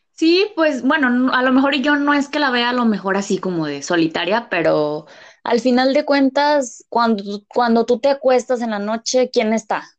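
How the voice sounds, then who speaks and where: A woman with a high voice speaks at a moderate pace with lively intonation and hardly any pauses against a quiet background. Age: 20s. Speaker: business administration graduate, small business owner. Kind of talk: casual chat.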